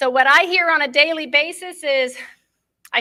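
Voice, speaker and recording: A woman's raised, projected voice with a bright, sharp tone on a very clean recording with a silent background. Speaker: pet cannabis product maker. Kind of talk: conference talk.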